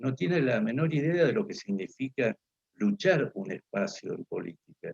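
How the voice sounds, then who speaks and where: A somewhat breathy man at a fairly high pitch, very wide pitch swings, moderate pace, and a dry, close sound with no echo. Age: 60s. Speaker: political speaker. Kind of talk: lecture. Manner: halting, many fillers.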